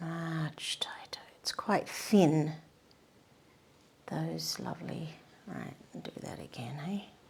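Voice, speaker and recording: A soft-spoken woman talks very slowly, leaving long, frequent pauses. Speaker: painting tutor. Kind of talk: painting demonstration. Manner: casual.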